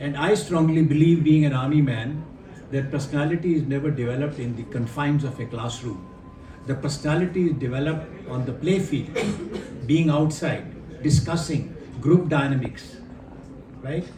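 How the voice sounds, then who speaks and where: With audible room echo, a man speaks in a fairly high pitch with ordinary pitch variation. He leaves long, frequent pauses. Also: moderate pace. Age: 70s. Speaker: retired army general and education speaker. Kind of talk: workshop talk. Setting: hotel workshop with audience. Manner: interactive, questions to audience.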